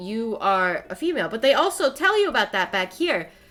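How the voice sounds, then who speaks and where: With noticeable background noise in the recording, the woman's voice is fairly high in pitch. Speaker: streamer. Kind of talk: casual chat. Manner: animated; fast.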